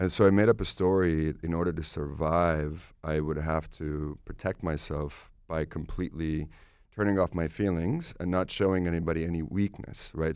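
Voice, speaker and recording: Recorded very cleanly against a silent background, a man with a very deep, low voice speaks at a moderate pace with fairly even intonation. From Estonia, later Finland. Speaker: breathwork and meditation teacher. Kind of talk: casual interview chat.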